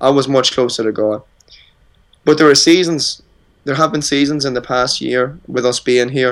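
A man at medium pitch and a moderate pace, with fairly even intonation and long, frequent pauses. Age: 30s. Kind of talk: interview.

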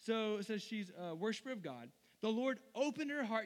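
Someone reads aloud in a natural voice, and the pitch shifts in an ordinary way.

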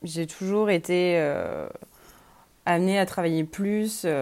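Her voice fairly low in pitch, a woman speaks with fairly even intonation on a very clean recording with a silent background. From Lorraine, France. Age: 20s. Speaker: university student. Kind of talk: interview testimony. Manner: hesitant, many fillers.

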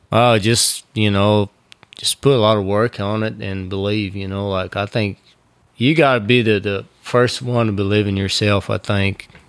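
A man speaks with a Brazilian accent at a moderate pace. His fairly low voice stays fairly even in intonation. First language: Portuguese. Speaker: bullfighter. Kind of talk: casual interview chat. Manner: hesitant, filler-heavy.

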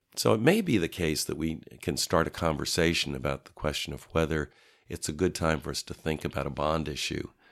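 Over a very clean recording with a silent background, a man speaks with a very deep, low voice, vocal fry, ordinary pitch variation, and a fairly quick pace. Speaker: local elected official. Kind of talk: interview.

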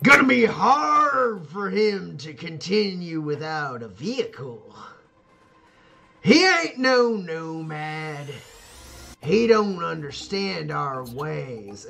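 A man in a booming put-on character voice, fairly high in pitch, at a very slow pace, with very wide pitch swings and big shifts in loudness. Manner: commanding, authoritative.

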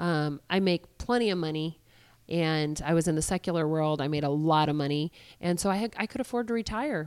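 On a very clean recording with a silent background, a woman in a plain, everyday voice speaks fairly quickly, her fairly low pitch showing ordinary variation. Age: 40s. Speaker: pastor. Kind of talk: interview.

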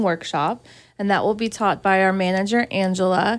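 A woman's medium-pitched voice with an American accent, at a moderate pace, on a very clean recording with a silent background. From Georgia, US South. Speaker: garden center owner. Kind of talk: radio interview. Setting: studio.

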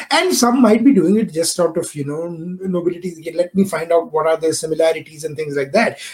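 With an animated tone and a high pitch, a man talks at a fairly quick pace with hardly any pauses and ordinary pitch variation, against noticeable background noise. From India. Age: 30s. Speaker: podcast host. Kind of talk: interview.

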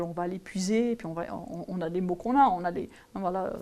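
The woman's tone is dark and mellow, and her pitch moves with ordinary variation. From French-speaking region. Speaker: geography professor. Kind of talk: interview. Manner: halting, many repetitions and fillers.

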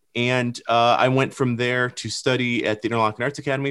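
Speech in an American accent rushes by at a very fast pace. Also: man. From Michigan. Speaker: filmmaker. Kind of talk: podcast conversation.

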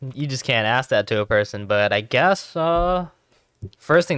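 A man's normal speaking voice with an American accent, lively intonation and a moderate pace, in a dry, close sound with no echo. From Los Angeles. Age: young. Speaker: podcast producer. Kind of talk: casual chat. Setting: studio.

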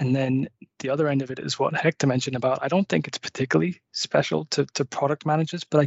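This man speaks in a Liverpool accent. His pitch is fairly high, with ordinary pitch variation. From Merseyside, England. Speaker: product manager. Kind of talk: panel discussion.

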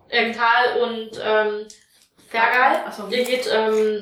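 A woman speaks with a fairly high pitch. Room echo is audible. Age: 30s. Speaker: tabletop role-playing player, comic artist. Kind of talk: tabletop role-playing session, casual chat.

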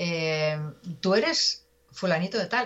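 Her intonation is lively and her voice somewhat breathy. The woman speaks at a medium pitch. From Spain, Pontevedra (Galicia). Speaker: journalist. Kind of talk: interview conversation.

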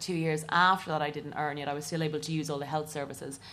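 Speaking very fast in an Irish accent, a woman with a very deep, low voice keeps to a flat monotone. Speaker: comedian. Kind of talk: comedy panel discussion. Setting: stage with live audience.

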